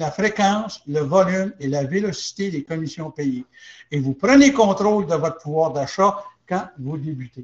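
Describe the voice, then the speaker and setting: A man with an English accent, very wide pitch swings and a fairly slow pace. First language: English (speaking French). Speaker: business opportunity presenter. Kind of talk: sales pitch. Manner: halting.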